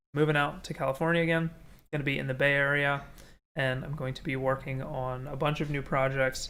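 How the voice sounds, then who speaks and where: A man's voice sits fairly high, with a bright, sharp tone. His intonation is monotone and flat. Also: fairly quick pace. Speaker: streamer and 3D hobbyist; streamer. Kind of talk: casual livestream chat. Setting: livestream on camera. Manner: relaxed; halting, with repeated words. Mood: relaxed, reflective. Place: home room.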